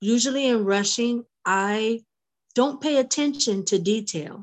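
With lively intonation, a woman talks at a very slow pace. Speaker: spiritual circle participant. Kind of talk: casual chat. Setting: video call.

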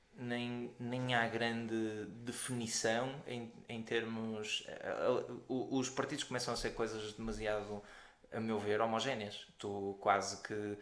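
Over noticeable background noise and audible room echo, a man speaks very slowly in a monotone, flat intonation. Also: medium pitch for a man. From Portugal, Porto. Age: 30s. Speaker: podcast co-host, orthopaedic doctor. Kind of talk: casual chat.

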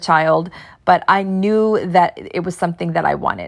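With an American accent, a woman of medium pitch talks at a moderate pace with fairly even intonation. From Pennsylvania coal region (Frackville). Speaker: podcast host, nurse turned entrepreneur. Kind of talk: casual personal monologue.

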